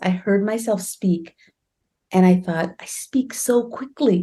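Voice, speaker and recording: The voice is somewhat breathy, with a dark, mellow tone and lively intonation. The background is quiet. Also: woman. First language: Bengali. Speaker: author. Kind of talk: interview. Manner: fast; animated.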